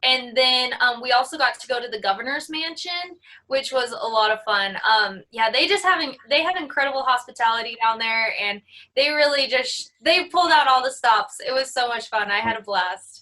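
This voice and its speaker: Projecting her voice, a woman with an American accent speaks at a moderate pace in a high, bright, sharp tone with lively intonation. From US Midwest, South Dakota. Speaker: rodeo queen. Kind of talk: interview.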